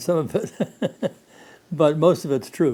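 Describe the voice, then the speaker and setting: Here a man speaks with a fairly high pitch at a moderate pace. Noticeable background noise can be heard. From US Midwest. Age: 90s. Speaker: war veteran. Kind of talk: oral history interview. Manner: halting.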